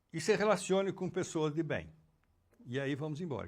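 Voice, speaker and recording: In a very clean recording with a silent background, a man speaks with a fairly high pitch and vocal fry. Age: 80s+. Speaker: educator and psychoanalyst. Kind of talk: interview conversation.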